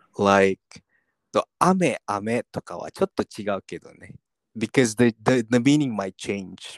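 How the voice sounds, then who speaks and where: At a fairly slow pace, the voice carries lively intonation and big swings in loudness, with a dry, close sound and no echo. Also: man, medium pitch for a man. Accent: non-native. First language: not Japanese (speaking Japanese). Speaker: podcast co-host. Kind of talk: casual bilingual chat.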